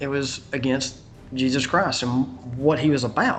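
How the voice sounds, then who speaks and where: Music plays in the background as a man with a Southern US accent speaks. His pitch is fairly high and his pace fairly slow. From US South. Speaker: conspiracy video maker. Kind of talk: interview. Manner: halting.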